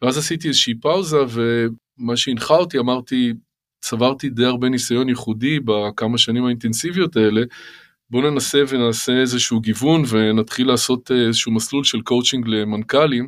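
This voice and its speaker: A man talks at a moderate pace in a medium pitch with fairly even intonation. His loudness stays very even, and the recording is very clean with a silent background. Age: 50s. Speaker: startup finance executive. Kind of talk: interview. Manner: hesitant with fillers.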